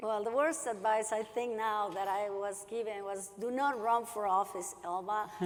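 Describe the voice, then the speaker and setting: A woman's fairly high voice at a moderate pace, fairly even in intonation, with hardly any pauses and audible room echo. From Latin America. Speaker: politician, award honoree. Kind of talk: panel discussion.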